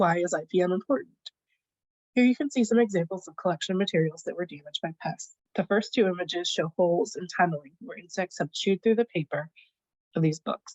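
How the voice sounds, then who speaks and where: This woman's voice is somewhat breathy, at a medium pitch. She talks at a very fast pace. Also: ordinary pitch variation. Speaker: librarian, collections care specialist. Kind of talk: conference presentation. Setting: video call.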